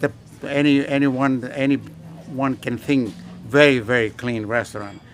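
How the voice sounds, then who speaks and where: The talking is fairly slow, and its intonation stays fairly even. Behind it, music plays in the background. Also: man, medium pitch for a man. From Greece. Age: 80s+. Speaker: restaurant owner. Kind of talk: interview. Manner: halting.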